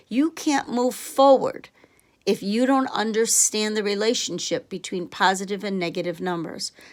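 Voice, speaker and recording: With an ordinary speaking voice, a woman talks at a moderate pace and a fairly high pitch, with ordinary pitch variation, in a very clean recording with a silent background. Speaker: math teacher. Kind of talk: tutorial.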